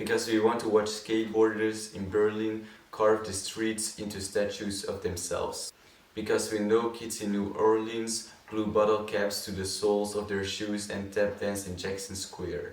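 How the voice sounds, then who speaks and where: Over noticeable background noise, a man speaks at a moderate pace. His fairly low voice stays monotone and flat. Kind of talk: poetry reading.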